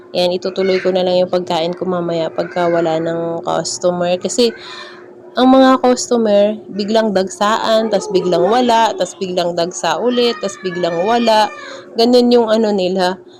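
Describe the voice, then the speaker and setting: Amid noticeable background noise, a woman talks fairly slowly at a medium pitch with ordinary pitch variation. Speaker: vlogger and milk tea shop owner. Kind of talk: casual vlog narration. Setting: in her shop. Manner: laughing.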